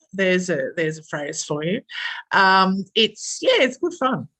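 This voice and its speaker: Her tone bright and sharp, a woman speaks with an Australian accent. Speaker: engineer and project manager. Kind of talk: interview. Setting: podcast recording. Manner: hesitant, many fillers.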